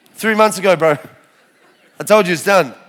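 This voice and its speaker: A man with an Australian accent speaks at a high pitch in an animated tone. His voice has a bright, sharp tone. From Australia (Adelaide), Lebanese family. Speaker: lay preacher giving testimony. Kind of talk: testimony. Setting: church stage with audience.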